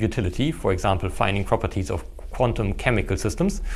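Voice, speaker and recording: A man speaks with a German accent and vocal fry. His pace is fairly quick. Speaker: theoretical physics professor. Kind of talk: casual podcast interview. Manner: hesitant, with fillers and restarts.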